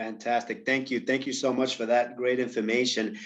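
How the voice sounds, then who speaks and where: A fairly quick pace in a New York accent. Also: man. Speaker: panel moderator. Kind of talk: panel discussion. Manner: halting, many fillers.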